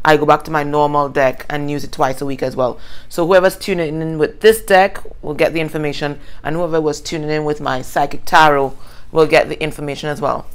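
A woman's very deep, low voice, with fairly even intonation and a fairly quick pace. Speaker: tarot reader. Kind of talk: casual tarot reading chat. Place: home room. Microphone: phone near.

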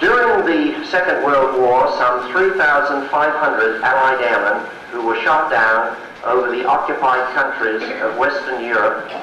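Against light background noise and audible room echo, a man speaks at a very slow pace. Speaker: symposium moderator. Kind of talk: formal introduction speech. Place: hall.

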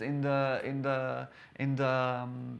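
A man with a Portuguese accent talks at a fairly high pitch. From Portugal. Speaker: lawyer and lecturer; lawyer, lecturer. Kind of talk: lecture. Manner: halting, frequent repetitions. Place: hall.

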